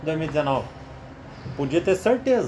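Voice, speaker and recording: A man's fairly high voice swings very widely in pitch. Noticeable background noise runs underneath. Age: 40s. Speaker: football commentator among coworkers. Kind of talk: casual chat.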